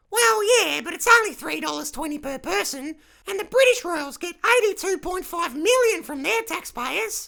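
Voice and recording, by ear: An extremely high-pitched, put-on character voice comes through. The pace is moderate.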